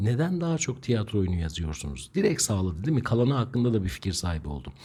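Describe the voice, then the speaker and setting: A man speaks at medium pitch in a dark, mellow tone with vocal fry. His pitch swings very widely. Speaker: Turkish language teacher. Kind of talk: tutorial. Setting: online video lesson.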